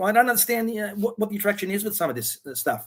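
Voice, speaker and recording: With an Australian accent, a man talks at a very fast pace in a high pitch. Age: 60s. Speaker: interview guest. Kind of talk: casual chat. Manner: halting.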